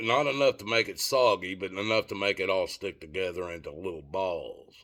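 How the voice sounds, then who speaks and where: Speaking with a Southern US accent, a man moves at a fairly quick pace. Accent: Southern US accent, noticeable. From Tennessee. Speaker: vlogger. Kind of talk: casual storytelling monologue. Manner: halting, with fillers.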